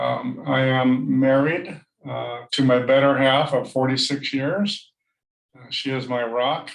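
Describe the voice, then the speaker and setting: Against audible room echo, a man with an American accent and medium pitch speaks at a very slow pace. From San Diego, California, US. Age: 60s. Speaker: nonprofit founder. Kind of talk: interview podcast. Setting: home office, video call.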